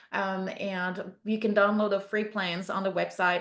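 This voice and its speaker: Delivered at a moderate pace, this is a plain, everyday voice. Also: woman. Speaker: beekeeping instructor. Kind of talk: webinar presentation.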